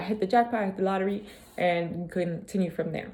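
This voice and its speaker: A woman with a medium-pitched voice speaks at a fairly quick pace. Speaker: vlogger. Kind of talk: casual motivational vlog. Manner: fast; animated.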